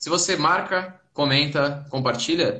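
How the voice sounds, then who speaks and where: Ordinary pitch variation runs through a man's bright, sharp-toned speech. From Santos, São Paulo state, Brazil. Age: 20s. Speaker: debate participant. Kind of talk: online live debate.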